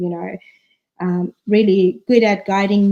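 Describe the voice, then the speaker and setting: A woman's medium-pitched voice with a non-native accent, at a fairly slow pace. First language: not English. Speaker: author. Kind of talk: live stream talk. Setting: livestream.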